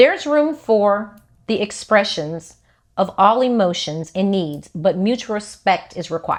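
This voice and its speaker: A woman speaks at a fairly slow pace with lively intonation. Her pitch is medium, and she has a plain, everyday voice. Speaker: podcast host. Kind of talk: casual chat.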